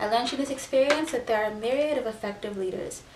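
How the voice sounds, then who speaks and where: A woman's fairly high voice with ordinary pitch variation, amid noticeable background noise and audible room echo. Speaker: YouTuber. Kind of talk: reading aloud.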